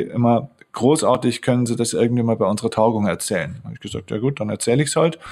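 A man with a Bavarian accent, medium pitch, ordinary pitch variation and a very fast pace. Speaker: mental coach and author. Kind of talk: interview. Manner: energetic.

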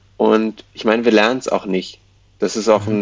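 A man talks at a fairly quick pace in a fairly low voice. His intonation is monotone and flat. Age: 20s. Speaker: education activist. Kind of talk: interview. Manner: halting, many fillers.

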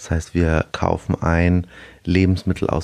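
Talking fairly slowly, a man speaks in a very deep, low pitch. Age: 30s. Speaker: restaurateur. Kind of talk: interview. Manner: hesitant with fillers.

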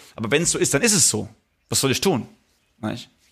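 A man talks at a very fast pace with a medium pitch and a bright, sharp tone. His intonation is lively, and the recording is very clean with a silent background. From Palatinate, Germany. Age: 30s. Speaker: DJ and musician. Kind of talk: casual chat.

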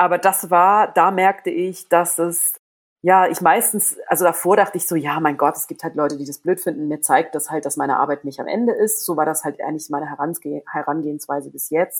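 Talking at a fairly quick clip with hardly any pauses, a woman with a fairly low pitch shows ordinary pitch variation and big swings in loudness. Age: 40s. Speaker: body image activist and author. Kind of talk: casual interview. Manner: halting.

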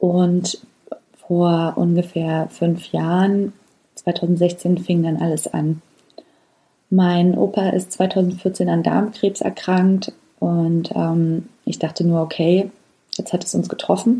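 The voice moves at a very slow pace. Its intonation is monotone and flat. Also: woman, fairly low pitch for a woman. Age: 30s. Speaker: podcast host. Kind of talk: personal storytelling monologue. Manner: hesitant with frequent fillers.

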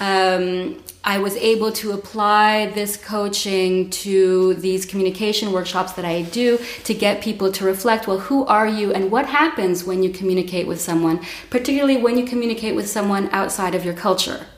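A woman's medium-pitched voice at a moderate pace, with ordinary pitch variation over noticeable background noise. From Montreal, Canada. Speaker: coach and workshop leader. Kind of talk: casual interview.

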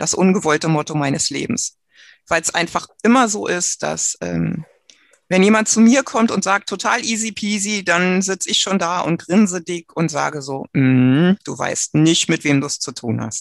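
Against a quiet background, a woman with a fairly low pitch and vocal fry speaks at a moderate pace with lively intonation, the sound dry and close with no echo. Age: 50s. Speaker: trained nurse with terminal breast cancer. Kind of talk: personal testimony in interview.

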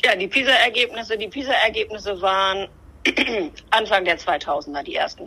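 Bright, sharp tone with lively intonation, a moderate pace, and long, frequent pauses. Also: woman, fairly high pitch for a woman. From northern Germany, Bremen-Nord. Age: 50s. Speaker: politician. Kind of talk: interview. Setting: remote connection.

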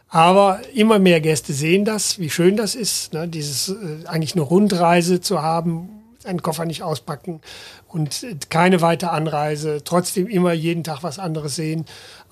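Here a man speaks in a high pitch with ordinary pitch variation. He keeps a moderate pace. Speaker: travel company founder and managing director. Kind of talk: interview.

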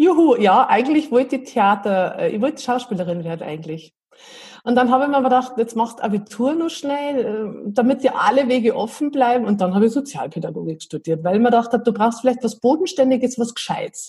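A woman's high, lively voice in a dark, mellow tone at a fairly quick pace. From Bavaria, Berchtesgadener Land (Bad Reichenhall). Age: 40s. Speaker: improv theatre enthusiast, self-employed mother. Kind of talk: casual interview.

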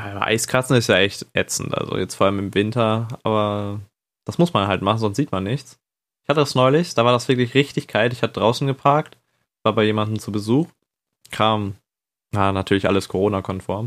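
A man with an ordinary speaking voice talks at a fairly quick pace in a very clean recording with a silent background. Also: fairly low pitch for a man, ordinary pitch variation. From northern Germany. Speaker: podcast co-host. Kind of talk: casual chat.

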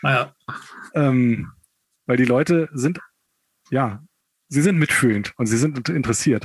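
A man speaks at a medium pitch with ordinary pitch variation and very even loudness. His pace is fairly slow, with long, frequent pauses. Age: 30s. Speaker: amputee, kindergarten educator. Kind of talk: interview.

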